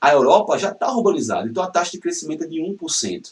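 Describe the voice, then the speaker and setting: Animated in tone, a man with a high pitch talks at a fairly quick pace with very wide pitch swings. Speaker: geography teacher. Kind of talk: lecture. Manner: fast.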